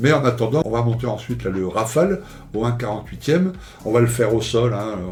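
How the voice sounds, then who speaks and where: Through audible room echo and noticeable background noise, a man with a medium pitch talks fairly quickly with lively intonation. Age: 60s. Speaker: scale model YouTuber. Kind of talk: casual vlog monologue. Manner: hesitant, many fillers and repetitions.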